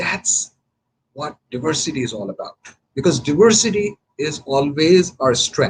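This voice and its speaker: A man with a Pakistani accent speaks at a fairly slow pace, his fairly high voice carrying lively intonation. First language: Urdu. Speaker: political candidate. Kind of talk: live radio broadcast, campaign talk. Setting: radio studio. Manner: halting, many fillers.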